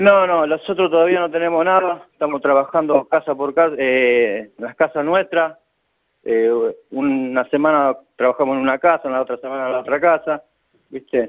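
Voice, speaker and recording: This man speaks with a Rioplatense accent and a fairly high pitch. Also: ordinary pitch variation, moderate pace. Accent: Argentine Rioplatense Spanish. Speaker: local election candidate. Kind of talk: phone interview.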